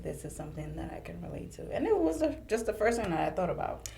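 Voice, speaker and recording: A woman's voice comes with audible room echo. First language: French. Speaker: podcast guest. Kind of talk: casual chat.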